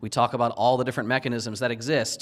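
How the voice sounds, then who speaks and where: With an American accent, a man speaks in a monotone, flat intonation. The recording is very clean, with a silent background. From US Northeast, Philadelphia. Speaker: security consultant, penetration tester. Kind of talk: conference talk. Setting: stage with audience.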